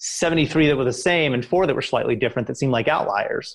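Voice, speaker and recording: A man's fairly high voice with an American accent and ordinary pitch variation over a quiet background. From Kentucky, US. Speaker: tech startup CEO. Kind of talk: interview. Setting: remote call.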